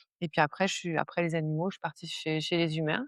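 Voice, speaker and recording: Recorded with a dry, close sound, no echo and a quiet background, a woman speaks at a fairly low pitch. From southern France (Var). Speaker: stress management coach, former nurse. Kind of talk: podcast interview. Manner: hesitant, many fillers.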